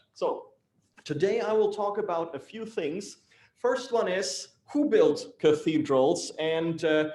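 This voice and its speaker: In a German accent, a man with a high pitch and a dark, mellow tone talks at a very slow pace with lively intonation and audible room echo. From Germany, Hamburg. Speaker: civil engineer. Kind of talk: lecture.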